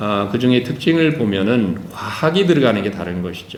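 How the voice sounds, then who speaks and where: Amid noticeable background noise and audible room echo, a man speaks with lively intonation. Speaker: professor. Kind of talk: conference lecture. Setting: conference hall with audience. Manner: halting, many fillers.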